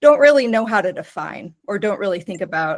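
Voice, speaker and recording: A woman with a fairly high pitch and an American accent. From United States. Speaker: professor. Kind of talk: lecture. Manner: halting, with restarts.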